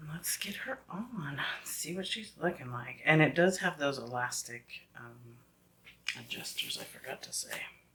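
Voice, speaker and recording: Whispering at a moderate pace, a woman swings widely in loudness over noticeable background noise. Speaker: beauty vlogger, wig reviewer. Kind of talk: product review. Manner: casual, chatty.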